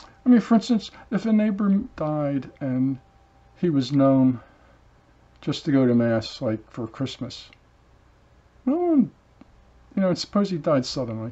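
A man talks at a fairly slow pace while his pitch swings very widely. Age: 70s. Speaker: channel host, solo talker. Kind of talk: monologue, stream-of-consciousness talk. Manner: reflective, halting. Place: home room. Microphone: webcam.

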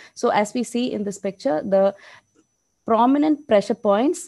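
A woman speaks with a fairly high pitch and a dark, mellow tone. Her pace is moderate, her pitch variation ordinary, and the background quiet. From India. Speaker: diabetes nurse educator. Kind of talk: lecture. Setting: video call. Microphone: video call.

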